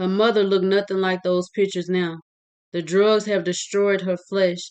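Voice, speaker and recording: The woman's intonation is monotone and flat. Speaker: author reading own novel. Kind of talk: reading aloud. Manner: occasional stumbles.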